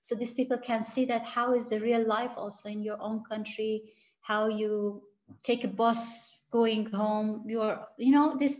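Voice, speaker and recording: A woman's somewhat breathy, fairly high voice, flat and monotone, at a fairly slow pace. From Iran, Gilan region. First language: Gilaki and Farsi. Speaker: researcher. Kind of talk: interview. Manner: halting, many fillers and restarts.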